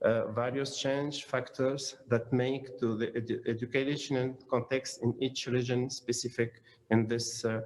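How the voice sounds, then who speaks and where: A man at medium pitch, monotone and flat, fairly slow, with hardly any pauses. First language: Arabic. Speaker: academic conference speaker. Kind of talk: conference presentation. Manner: halting.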